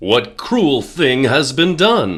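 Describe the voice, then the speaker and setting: In a put-on character voice, a man at a medium pitch makes very wide pitch swings. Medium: read story. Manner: stern, authoritative.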